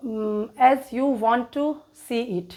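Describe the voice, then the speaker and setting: A woman's high-pitched voice with an Indian accent and fairly even intonation. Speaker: English teacher. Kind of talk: read story for English learners. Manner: hesitant, many fillers.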